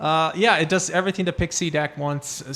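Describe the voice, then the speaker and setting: On a very clean recording with a silent background, a man talks with fairly even intonation. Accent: slight Brazilian. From Brazil. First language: Portuguese. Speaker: card game content creator. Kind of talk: casual chat.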